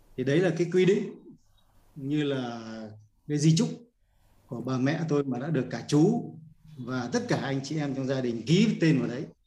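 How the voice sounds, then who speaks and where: At a moderate pace, a man speaks in a somewhat breathy, fairly high voice with a dark, mellow tone and lively intonation, broken by long, frequent pauses. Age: 70s. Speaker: course participant, retiree. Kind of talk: personal testimony, reading documents aloud. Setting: video call.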